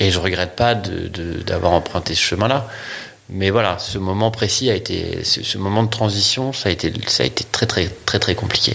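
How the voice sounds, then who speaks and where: Speaking at a moderate pace over noticeable background noise, a man has a fairly low pitch and ordinary pitch variation. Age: 40s. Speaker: photographer. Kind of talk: interview.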